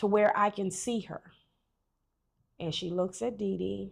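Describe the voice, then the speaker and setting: Over a silent background in a very clean recording, a woman with a medium pitch speaks at a moderate pace. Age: 50s. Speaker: adoptee sharing life story. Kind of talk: testimony.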